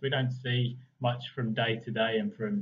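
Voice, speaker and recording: Somewhat breathy, a man speaks at a medium pitch with an English accent. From England. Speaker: property market analyst and coach. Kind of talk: online workshop presentation. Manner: fast in parts; many fillers (um, uh).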